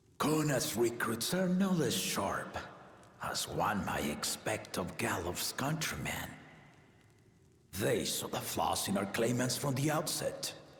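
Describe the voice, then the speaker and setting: Putting on a character voice, a man speaks at a medium pitch and a fairly slow pace, with very wide pitch swings and a slight echo. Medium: video game. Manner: stately, measured, fatherly.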